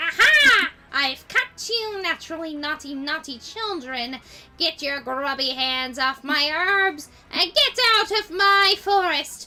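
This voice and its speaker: A put-on, female-sounding character voice at an extremely high pitch and a fairly slow pace. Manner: mean, scolding and menacing.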